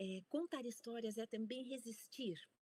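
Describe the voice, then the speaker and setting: A woman with a fairly high, somewhat breathy voice speaks at a fairly slow pace, with a dry, close sound and no echo. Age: 60s. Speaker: university researcher and storytelling scholar. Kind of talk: conference talk.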